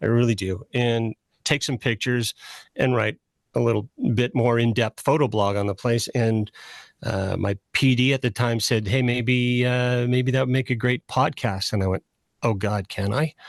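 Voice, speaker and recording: This man has an ordinary speaking voice with a Canadian accent, medium pitch and fairly even intonation. He talks at a moderate pace against a quiet background. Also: dry, close sound with no echo. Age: 60s. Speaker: radio host. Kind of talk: casual chat.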